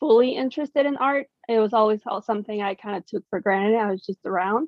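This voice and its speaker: A woman talks at a fairly quick pace with an ordinary speaking voice and a General American accent. Her pitch sits in the medium range. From Mexico and Washington DC area. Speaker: artist and graphic designer. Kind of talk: casual interview.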